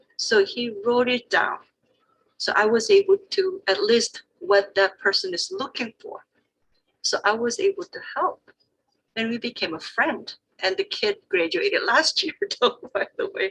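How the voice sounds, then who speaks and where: With a Korean accent, a woman speaks fairly slowly in a high pitch with very wide pitch swings, and the sound is dry and close with no echo. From South Korea. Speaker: Korean interpreter. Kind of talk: panel discussion.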